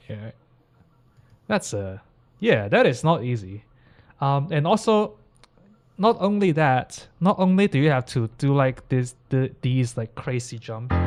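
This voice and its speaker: Fairly slow speech with a non-native accent, very wide pitch swings, and long, frequent pauses. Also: man, fairly high pitch for a man. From Hong Kong. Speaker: classical pianist and anime piano streamer. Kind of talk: live stream reaction and tutorial. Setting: live stream. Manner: casual, many fillers and repetitions.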